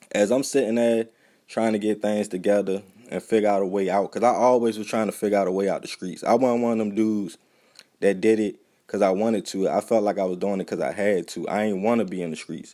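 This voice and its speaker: In an American accent, a man with a dark, mellow tone and fairly low pitch speaks at a very fast pace with fairly even intonation. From Baltimore, Maryland. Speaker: YouTube reporter and videographer. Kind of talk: casual talk to camera.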